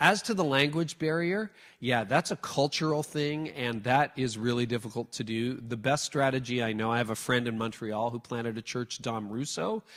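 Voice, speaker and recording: With a Canadian accent and a plain, everyday voice, a man speaks at a moderate pace and medium pitch with ordinary pitch variation and hardly any pauses, on a very clean recording with a silent background. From Canada. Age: 50s. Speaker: church leadership speaker. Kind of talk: talk with audience Q&A.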